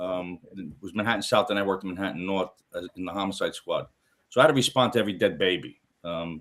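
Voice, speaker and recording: The voice races at a very fast pace, its pitch varying in an ordinary way while the loudness swings widely. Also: man, fairly low pitch for a man. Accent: Brooklyn. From New York City, Brooklyn. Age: 60s. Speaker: retired homicide detective, paranormal TV investigator. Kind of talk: casual interview chat.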